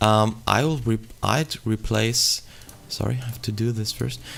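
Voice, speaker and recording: This is a man speaking. He has a German accent. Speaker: gaming YouTuber. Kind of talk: tutorial. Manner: halting, many fillers.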